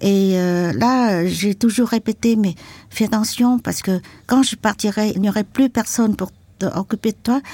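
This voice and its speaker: A woman speaks at a fairly slow pace in a fairly high, somewhat breathy voice with a dark, mellow tone and fairly even intonation, recorded very cleanly with a dry, close sound, no echo and a silent background. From Vietnam, Mekong delta and Saigon. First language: Vietnamese (learned French early) (speaking French). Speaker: activist, former journalist and war veteran. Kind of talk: testimony. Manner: halting.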